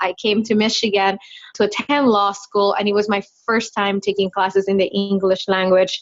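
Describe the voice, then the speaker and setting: A woman speaks in a Spanish accent with monotone, flat intonation. Her loudness is very even. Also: medium pitch for a woman, moderate pace. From Dominican Republic. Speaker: lawyer. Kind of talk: interview.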